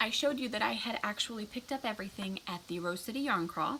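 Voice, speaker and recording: Noticeable background noise sits behind a woman's voice. She speaks at a fairly high pitch with ordinary pitch variation. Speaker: knitting podcaster. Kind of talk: casual chat. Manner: halting.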